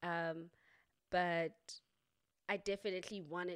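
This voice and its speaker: A woman with a normal speaking voice and fairly low pitch talks with fairly even intonation, the sound dry and close with no echo. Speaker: podcast host. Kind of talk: casual interview conversation. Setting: virtual recording, video call.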